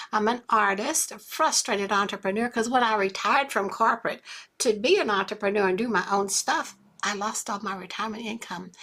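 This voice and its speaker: A woman with an American accent speaks at a fairly quick pace in a fairly high, bright and sharp voice with ordinary pitch variation, on a very clean recording with a silent background. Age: 70s. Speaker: online business coach. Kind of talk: live stream sales talk. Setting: live stream with chat. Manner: animated.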